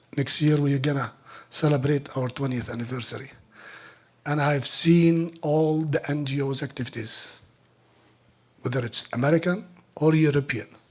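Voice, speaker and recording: A man with a fairly high voice speaks with long, frequent pauses, a somewhat breathy tone and fairly even intonation. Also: moderate pace. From Palestine. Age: 50s. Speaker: olive oil producer. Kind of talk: speech at fundraiser. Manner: halting.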